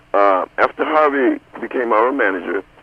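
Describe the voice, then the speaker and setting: A man with an American accent talks in lively intonation while noticeable background noise plays. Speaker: soul singer, founding group member. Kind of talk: radio interview. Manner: halting with fillers.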